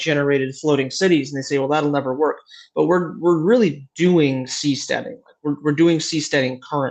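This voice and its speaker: Against a quiet background, a man with a fairly high voice talks at a fairly quick pace with fairly even intonation. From Michigan, US Midwest. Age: 20s. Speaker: company founder. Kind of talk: interview. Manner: halting, repeats words.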